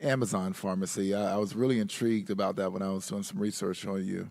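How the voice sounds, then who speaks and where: A man with a North Carolina accent speaks at a fairly low pitch with ordinary pitch variation. The recording is very clean with a silent background. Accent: Southern US (North Carolina). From Eastern North Carolina. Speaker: mayor, session moderator. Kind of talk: panel conversation. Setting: conference stage.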